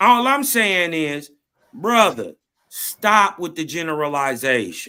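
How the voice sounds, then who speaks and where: The voice is loud and bright with a sharp tone, moving at a very slow pace through very wide pitch swings. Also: man, high pitch for a man. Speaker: panelist. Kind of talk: heated debate.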